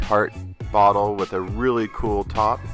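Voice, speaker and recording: Over music in the background, a man talks at a very slow pace with a fairly low pitch. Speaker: husband of the channel owner, narrating her makeup routine. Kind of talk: humorous improvised voiceover commentary. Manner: joking, teasing, casual.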